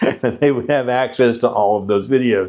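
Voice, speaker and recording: Quiet background, with a man talking at a fairly quick pace. His pitch is medium, with ordinary variation. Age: 60s. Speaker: retiree YouTuber. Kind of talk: livestream chat reading viewer questions. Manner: halting, many fillers and restarts.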